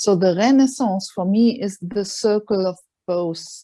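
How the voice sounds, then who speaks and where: Fairly slow speech from a woman with a non-native accent, medium pitch, a dark, mellow tone and ordinary pitch variation. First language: not English. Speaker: palliative care worker. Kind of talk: casual chat.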